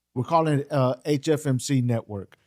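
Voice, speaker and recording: A man speaks in a plain, everyday voice with an American accent, fairly high in pitch. His moderate pace and ordinary pitch variation come through a dry, close sound with no echo. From Texas. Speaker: podcast host. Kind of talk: interview.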